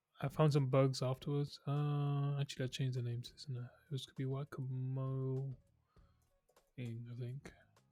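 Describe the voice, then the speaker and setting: In a somewhat breathy voice of medium pitch, a man speaks at a fairly slow pace with monotone, flat intonation. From UK. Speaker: streamer learning to code. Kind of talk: casual live stream chat. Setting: live stream. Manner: halting, many fillers.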